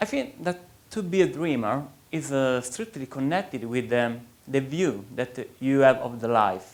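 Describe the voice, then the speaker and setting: A man with an Italian accent speaks at a medium pitch. His pace is fairly slow. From Italy. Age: young. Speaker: writer. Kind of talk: interview.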